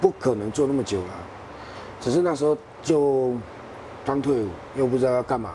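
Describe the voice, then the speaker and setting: With noticeable background noise behind him, a man at medium pitch talks at a fairly quick pace with ordinary pitch variation and long, frequent pauses. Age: young. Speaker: renovation business owner. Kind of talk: interview.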